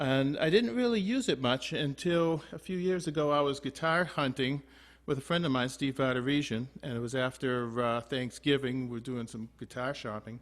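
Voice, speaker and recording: A man with a plain, everyday voice, fairly high in pitch, at a moderate pace with hardly any pauses and ordinary pitch variation. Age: 60s. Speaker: guitar teacher. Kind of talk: online group lesson with anecdote. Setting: video call. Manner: casual, many fillers.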